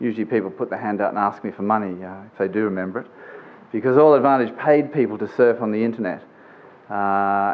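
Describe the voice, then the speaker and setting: In an Australian accent, a man talks at a fairly quick pace with a fairly low pitch. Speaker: business executive, conference speaker. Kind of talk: conference presentation. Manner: informal, with many fillers.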